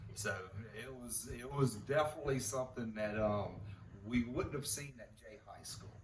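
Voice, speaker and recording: In a room with audible echo, a man speaks at a moderate pace in a somewhat breathy, medium-pitched voice, with ordinary pitch variation and big swings in loudness. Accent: American. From south Louisiana and Jay, Florida. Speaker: oilfield family member. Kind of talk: oral history interview. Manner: halting, with repetitions.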